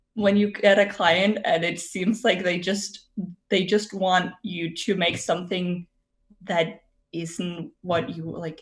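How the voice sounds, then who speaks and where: A woman speaks in a Danish accent at medium pitch. Her voice is somewhat breathy, with fairly even intonation and a very slow pace. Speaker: artist and streamer. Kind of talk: casual podcast chat. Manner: hesitant, many fillers.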